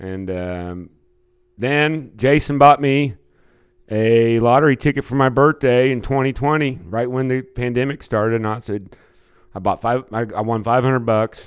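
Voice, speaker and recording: A man with a Midwestern US accent speaks at a medium pitch and moderate pace with ordinary pitch variation, on a very clean recording with a silent background. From Kansas City. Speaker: singer and guitarist. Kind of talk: casual interview.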